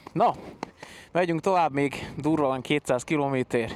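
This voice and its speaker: Fairly high male voice at a moderate pace, with ordinary pitch variation. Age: 30s. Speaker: motorcycle travel vlogger. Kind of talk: travel vlog talk. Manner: animated.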